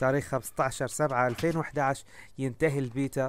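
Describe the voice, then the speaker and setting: A man's medium-pitched voice at a moderate pace, flat and monotone in intonation. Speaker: gaming YouTuber. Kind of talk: casual gaming commentary.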